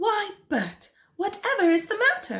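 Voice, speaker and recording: Putting on a squeaky character voice, a woman swings her extremely high pitch very widely while speaking at a fairly slow pace. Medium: read story. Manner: ladylike, brisk.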